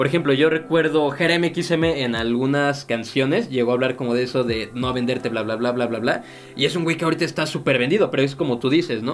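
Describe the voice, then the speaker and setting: There is noticeable background noise as a man speaks very fast with hardly any pauses. His medium pitch shows ordinary pitch variation. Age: 20s. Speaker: podcast co-host, student and café supervisor. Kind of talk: casual chat. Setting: studio.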